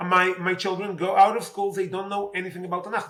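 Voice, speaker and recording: A raised, projected voice with an Israeli accent. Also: man. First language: Hebrew. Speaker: politician. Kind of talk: interview. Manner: halting, many fillers.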